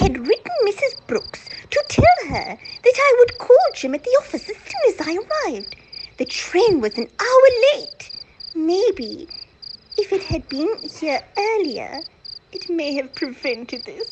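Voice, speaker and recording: In a put-on character voice, a woman speaks at a fairly slow pace with an extremely high, raspy pitch, very wide pitch swings, big swings in loudness and long, frequent pauses. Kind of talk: radio drama acting.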